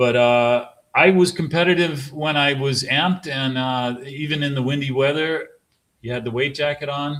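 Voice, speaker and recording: Speaking at a moderate pace, a man with an American accent has an unremarkable speaking voice, fairly high in pitch, with fairly even intonation. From US East Coast. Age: 40s. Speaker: sailmaker. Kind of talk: casual chat.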